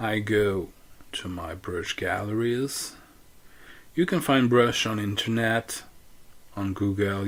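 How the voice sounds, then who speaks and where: Intonation stays fairly even as a man speaks with a non-native accent. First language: not English. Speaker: photo editing tutorial maker. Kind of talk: tutorial. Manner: halting.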